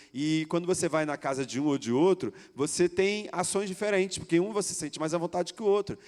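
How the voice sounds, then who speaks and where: High in pitch, a man speaks at a fairly quick pace with lively intonation. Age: 40s. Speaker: pastor, youth ministry coordinator. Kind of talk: sermon.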